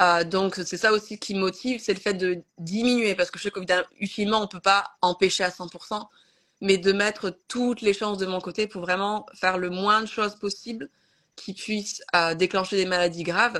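A woman speaks at a moderate pace and medium pitch, with fairly even intonation. Her tone is bright and sharp over a quiet background. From France. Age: 30s. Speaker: content creator. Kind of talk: casual chat. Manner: halting.

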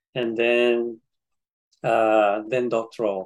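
A man with a Japanese accent speaks at a very slow pace in a medium-pitched voice. His intonation is monotone and flat. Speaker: psychology professor. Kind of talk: interview.

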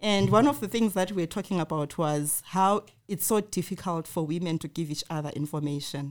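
Using a normal speaking voice, a woman talks at a fairly quick pace and fairly low pitch with lively intonation, on a very clean recording with a silent background. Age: middle-aged. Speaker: podcast host. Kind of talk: casual chat.

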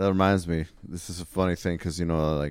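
A man's very deep, low voice with an American accent, on a very clean recording against a silent background. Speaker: metal musician. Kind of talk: casual chat.

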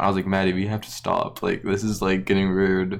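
A man talks at a very fast pace with a fairly low pitch. Noticeable background noise runs underneath. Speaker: friend of the hosts. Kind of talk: casual chat.

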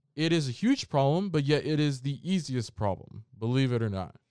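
On a very clean recording with a silent background, a man at a medium pitch talks at a moderate pace, making very wide pitch swings. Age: 20s. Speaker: podcast host and content creation mentor. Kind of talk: casual solo podcast monologue. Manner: halting, repeats words.

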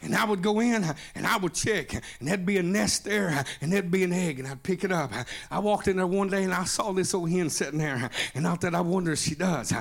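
A man talks at a very fast pace with an animated tone. His pitch is high, with ordinary pitch variation. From Oklahoma. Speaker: pastor. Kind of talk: sermon. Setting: church.

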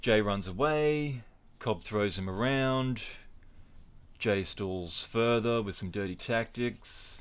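A man with an Australian accent and a medium pitch at a very slow pace, in a very clean recording with a silent background. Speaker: podcast host and wrestling commentator. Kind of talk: casual solo podcast. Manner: rambling, hesitant.

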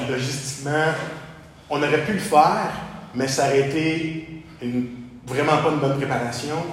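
A man speaks very slowly with a Quebec accent. The room echo is audible and background noise is noticeable. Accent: Québécois French. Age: 30s. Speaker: bodybuilding athlete and coach. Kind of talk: casual interview.

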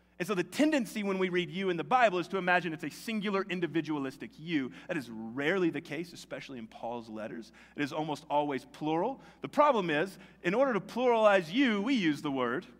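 Very fast and in an American accent, a man speaks at a high pitch with very wide pitch swings and big swings in loudness. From US South, Tennessee. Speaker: pastor. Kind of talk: sermon. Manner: casual conversational.

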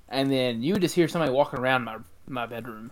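In a Mississippi accent, a man at a medium pitch talks at a very fast pace on a very clean recording with a silent background. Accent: Southern US (Mississippi). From Mississippi, US South. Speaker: podcast co-host. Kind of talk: casual chat.

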